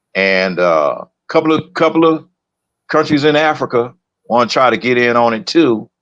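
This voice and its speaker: With an unremarkable speaking voice, a man talks at a medium pitch and moderate pace, his intonation lively. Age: 60s. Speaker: podcast co-host. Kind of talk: casual chat.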